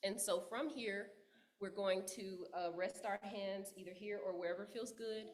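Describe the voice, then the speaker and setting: A voice with a Texas accent moves at a fairly slow pace with fairly even intonation. Room echo is audible. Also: woman, medium pitch for a woman. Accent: Southern US (Texas). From Texas, Dallas. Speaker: yoga teacher and writer. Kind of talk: guided yoga instruction. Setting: church service. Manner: loud; calm, with frequent fillers.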